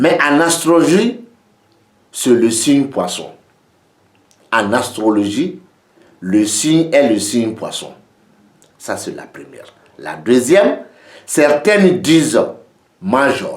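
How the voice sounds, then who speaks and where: A man with a non-native accent talks at a very slow pace with long, frequent pauses, his fairly high voice making very wide pitch swings over audible room echo. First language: not French (speaking French). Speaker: geomancy teacher. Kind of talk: lecture.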